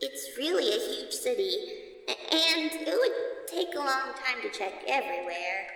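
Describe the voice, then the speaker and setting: This put-on character voice sits at an extremely high pitch with very wide pitch swings, delivered at a moderate pace amid light background noise and clear echo. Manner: nervous, stuttering.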